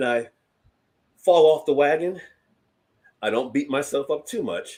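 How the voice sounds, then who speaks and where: A man with a fairly high voice delivers his words at a fairly slow pace. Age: 60s. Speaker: leadership coach and speaker, show host. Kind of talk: interview conversation.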